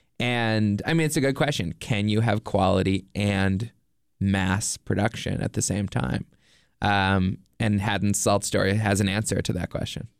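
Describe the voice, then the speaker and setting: Here a man talks in a normal speaking voice at a fairly slow pace, with a fairly low pitch and ordinary pitch variation. His loudness stays very even in a very clean recording with a silent background. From Nova Scotia, Canada. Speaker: documentary filmmaker. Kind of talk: interview.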